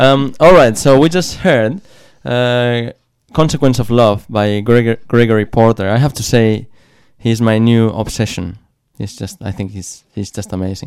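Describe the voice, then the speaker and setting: A man's unremarkable speaking voice, medium in pitch, at a moderate pace, with ordinary pitch variation and big swings in loudness. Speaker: community radio host. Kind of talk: radio interview. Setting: radio studio.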